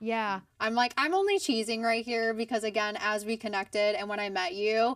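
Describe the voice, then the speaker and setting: Her pace is fairly quick and her pitch medium for a woman. The recording is very clean, with a silent background. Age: 30s. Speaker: podcast host. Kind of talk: interview conversation. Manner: animated.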